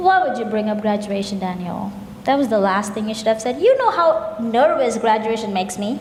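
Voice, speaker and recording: Intonation is lively and the pace fairly quick. Noticeable background noise and audible room echo are present. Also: woman, fairly high pitch for a woman. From India, Kerala. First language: Malayalam. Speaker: graduate student, festival co-presenter. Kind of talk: scripted stage dialogue.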